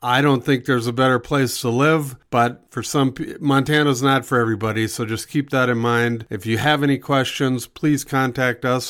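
A man with an American accent speaks at a moderate pace and a medium pitch in an ordinary speaking voice. The recording is very clean, with a silent background. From Minnesota, US Upper Midwest. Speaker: real estate broker and podcast host. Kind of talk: casual podcast monologue.

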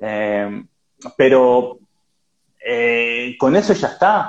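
A man speaks with very wide pitch swings. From Uruguay. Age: 30s. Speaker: digital business consultant and writer. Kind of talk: casual interview on a live stream. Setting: Instagram live. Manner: halting, many repetitions.

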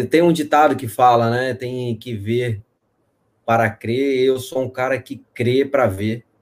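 This is a man's voice at medium pitch. It shows ordinary pitch variation. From Espírito Santo, Brazil. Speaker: fintech executive. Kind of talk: live interview.

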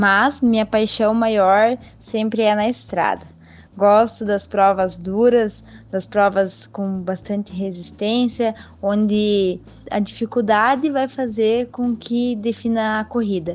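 A woman's fairly high voice, very slow pace, fairly even intonation. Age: 20s. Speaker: professional cyclist. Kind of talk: interview.

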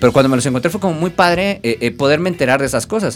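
A man is talking while music plays behind him. His voice rises and falls over a very wide range. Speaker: lawyer and comic collector. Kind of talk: casual chat.

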